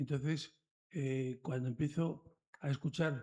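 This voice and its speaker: At a very slow pace, a man speaks in a dark, mellow, somewhat breathy tone with ordinary pitch variation. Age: 70s. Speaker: audience member, retiree. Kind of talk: audience question. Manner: halting.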